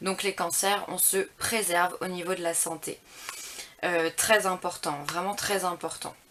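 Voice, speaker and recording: At a fairly slow pace, a woman speaks in a monotone, flat intonation at a medium pitch, with noticeable background noise. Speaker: tarot reader. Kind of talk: tarot reading guidance. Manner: halting, many hesitations.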